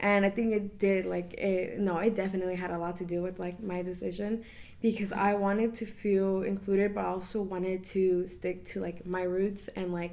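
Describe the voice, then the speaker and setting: In a room with audible echo, a woman speaks at a moderate pace with hardly any pauses, in a medium pitch with monotone, flat intonation. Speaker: college sorority member. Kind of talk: casual interview.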